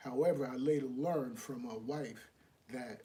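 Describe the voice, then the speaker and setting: A man speaks at a moderate pace with a fairly high pitch. His tone is dark, mellow and somewhat breathy, with lively intonation. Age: 60s. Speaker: live show host, relationship advice. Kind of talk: live stream monologue. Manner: repetitive, restarts phrases.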